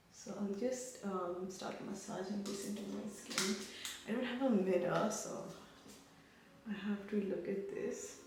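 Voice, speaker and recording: Soft-spoken, a woman talks at a medium pitch and a fairly slow pace with fairly even intonation and long, frequent pauses. Her voice comes with audible room echo and noticeable background noise. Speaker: beauty vlogger. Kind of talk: makeup tutorial. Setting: bathroom. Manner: casual, rambling.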